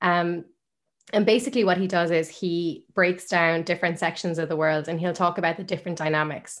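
Speaking fairly quickly with an Irish accent, a woman uses fairly even intonation and fairly low pitch on a very clean recording with a silent background. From Ireland, Limerick. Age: 20s. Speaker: journalist and media founder. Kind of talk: podcast interview.

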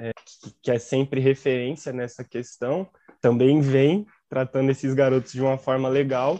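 With a dark, mellow tone at medium pitch, a man speaks at a fairly slow pace with fairly even intonation and big swings in loudness, the sound dry and close with no echo. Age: 20s. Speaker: journalism student and football podcast co-host. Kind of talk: casual football discussion podcast.

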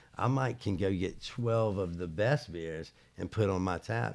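A man with an American accent and an ordinary speaking voice, fairly low in pitch with ordinary pitch variation, at a moderate pace on a very clean recording with a silent background. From US South, Charlotte, North Carolina. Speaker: restaurant owner. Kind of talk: interview.

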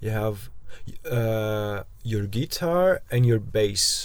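There is noticeable background noise as a man with a non-native accent speaks at a medium pitch. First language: not English. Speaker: podcast host, van traveller. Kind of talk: casual chat. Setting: inside a parked van. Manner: halting, many repetitions.

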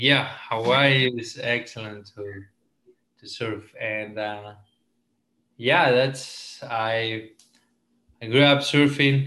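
With a Spanish accent and a bright, sharp tone, the speaker goes at a very slow pace with long, frequent pauses, fairly even intonation and big swings in loudness, all with audible room echo. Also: man, medium pitch for a man. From Ecuador, coastal Esmeraldas. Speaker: entrepreneur. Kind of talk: casual interview. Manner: halting.

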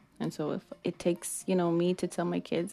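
A woman speaks at a moderate pace in a dark, mellow tone with ordinary pitch variation. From Mexico or Mexican-American. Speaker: podcast host. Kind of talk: casual monologue. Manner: casual, many fillers.

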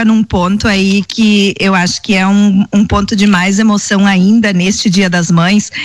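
A woman at medium pitch talks at a fairly slow pace, somewhat breathy. Her loudness stays very even and her intonation is monotone and flat. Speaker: radio co-host. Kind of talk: live radio show. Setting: radio studio.

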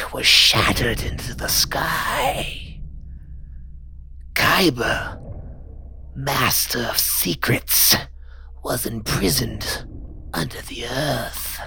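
A put-on character voice whispers at a very slow pace, leaving long, frequent pauses. Clear background noise runs throughout. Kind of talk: solemn prophetic declamation. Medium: actual play. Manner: grave, ominous.

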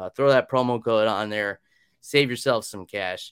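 With an unremarkable speaking voice, a man talks at medium pitch and a moderate pace, his intonation fairly even and the sound dry and close with no echo. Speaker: podcast host. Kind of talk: casual chat. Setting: video call.

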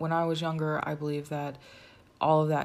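Heard with audible room echo, a woman speaks at a moderate pace in a very deep, low pitch. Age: 30s. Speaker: podcast host and filmmaker. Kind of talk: solo podcast monologue. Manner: casual, conversational.

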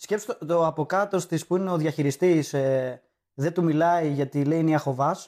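A man's fairly high voice with fairly even intonation and a moderate pace, on a very clean recording with a silent background. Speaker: comedian. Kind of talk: casual chat.

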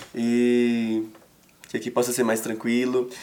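Medium-pitched male speech at a moderate pace, with noticeable background noise. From interior of Minas Gerais, Brazil. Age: 20s. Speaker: children's entertainer. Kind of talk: casual interview. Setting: TV studio.

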